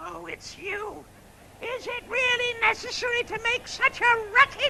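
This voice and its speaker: A put-on character voice at an extremely high pitch moves at a moderate pace over light background noise. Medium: short film. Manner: dry, sarcastic, grumbling.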